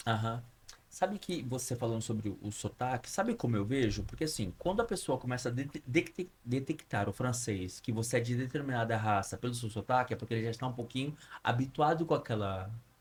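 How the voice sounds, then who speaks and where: Medium-pitched male voice, somewhat breathy, moving at a fairly quick pace with ordinary pitch variation. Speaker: podcast host. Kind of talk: casual interview.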